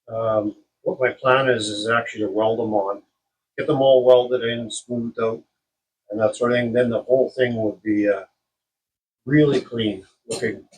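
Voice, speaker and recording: At a moderate pace and medium pitch, a man speaks in a somewhat breathy voice with fairly even intonation and long, frequent pauses. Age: 60s. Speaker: car restoration hobbyist. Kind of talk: tutorial. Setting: workshop. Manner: casual, halting with many fillers.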